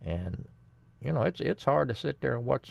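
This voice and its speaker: A man speaks with an American accent. His voice carries vocal fry. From Indiana (Indianapolis). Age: 70s. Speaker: livestream host. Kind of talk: casual chat.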